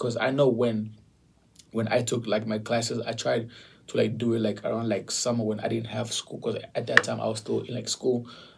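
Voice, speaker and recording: With a non-native accent, a man talks at a moderate pace. His medium-pitched voice carries vocal fry. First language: not English. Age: 20s. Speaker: realtor. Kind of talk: casual chat.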